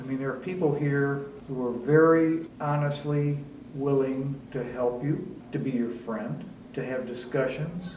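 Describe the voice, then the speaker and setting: The man's voice is fairly high in pitch and his pace is fairly slow. There is noticeable background noise and audible room echo. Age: 70s. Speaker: retired resident. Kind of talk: interview testimony. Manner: conversational with fillers.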